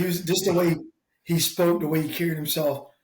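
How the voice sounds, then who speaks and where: In a Southern US accent, a man speaks at a very fast pace in a somewhat breathy voice. Audible room echo surrounds him. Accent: Southern US (Georgia). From US South, south Georgia. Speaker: military veteran. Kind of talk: casual interview.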